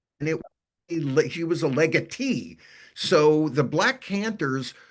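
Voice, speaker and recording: A man at a fairly high pitch, very slow pace and lively intonation, against a quiet background. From New York City, Brooklyn. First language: Yiddish. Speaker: author and musicologist. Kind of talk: interview Q&A. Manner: halting, many repetitions and fillers.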